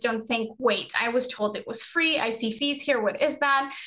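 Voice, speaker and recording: A woman's high-pitched voice in an American accent, with ordinary pitch variation and a moderate pace. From United States. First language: Spanish. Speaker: study-abroad advisor and webinar presenter. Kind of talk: webinar presentation. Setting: video call. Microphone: webcam.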